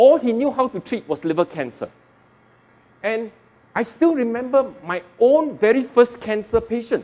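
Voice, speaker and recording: A loud man speaks at a moderate pace in an extremely high pitch. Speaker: oncologist. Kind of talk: public talk. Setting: stage with audience.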